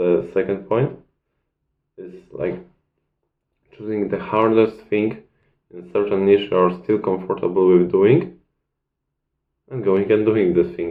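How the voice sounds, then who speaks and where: A man with a non-native accent speaks at a fairly slow pace in a fairly low pitch. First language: not English. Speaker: self-improvement video creator. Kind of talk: casual talking-head advice video. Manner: halting, searching for words.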